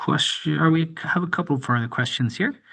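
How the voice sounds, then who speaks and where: Fairly high-pitched male voice with a bright, sharp tone over a quiet background. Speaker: webinar host. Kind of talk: webinar moderation. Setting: online webinar.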